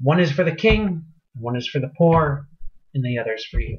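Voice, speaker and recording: Someone performs a put-on character voice at a low-to-middle pitch. The pace is moderate. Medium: read story.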